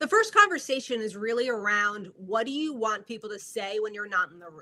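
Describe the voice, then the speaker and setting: A woman with a New Jersey accent, a fairly quick pace, and ordinary pitch variation. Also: fairly high pitch for a woman, big swings in loudness. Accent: New Jersey American. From US Northeast, North Jersey. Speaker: media branding coach. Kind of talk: live video interview. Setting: live video stream.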